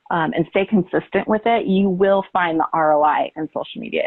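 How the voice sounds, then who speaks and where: Speech comes at a moderate pace. It carries an American accent. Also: woman. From California. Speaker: conference presenter on social media. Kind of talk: conference presentation.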